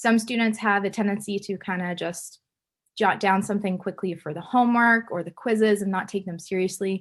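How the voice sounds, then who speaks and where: A woman at medium pitch, fairly quick in pace and fairly even in intonation, on a very clean recording with a silent background. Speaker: chemistry instructor. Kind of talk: lecture. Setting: recorded video lecture. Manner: fast.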